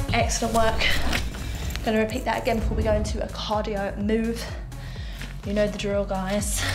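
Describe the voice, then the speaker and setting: The speech keeps a moderate pace while clear music sounds behind it. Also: woman. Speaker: fitness instructor. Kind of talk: workout instruction.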